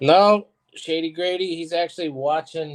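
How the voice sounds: A man speaks at a fairly slow pace. His pitch is fairly high, with ordinary pitch variation.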